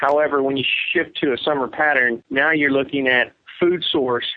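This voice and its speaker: A man speaks in a plain, everyday voice at a fairly high pitch. The pace is moderate and the loudness very even. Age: 40s. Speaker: professional bass angler. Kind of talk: interview.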